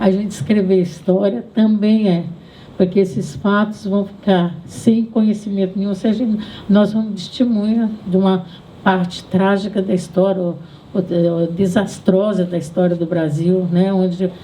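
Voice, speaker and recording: The voice is dark, mellow and somewhat breathy, moving at a fairly slow pace with fairly even intonation and audible room echo. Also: woman. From Brazil, Southeast. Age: 80s+. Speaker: feminist activist and writer. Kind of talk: public talk. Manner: halting.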